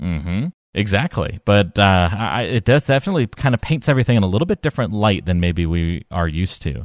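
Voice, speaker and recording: In a very clean recording with a silent background and a dry, close sound with no echo, a man with a fairly low pitch talks at a very fast pace with lively intonation. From North Carolina. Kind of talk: casual chat.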